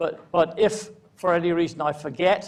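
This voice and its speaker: A man speaks with an English accent. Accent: sounds English despite being Scottish. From Scotland, Edinburgh. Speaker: law lecturer and barrister. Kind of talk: lecture. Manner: halting, many fillers and repetitions.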